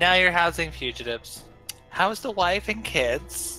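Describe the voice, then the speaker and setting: A man's put-on character voice, high in pitch, at a moderate pace, with clear music in the background. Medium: actual play.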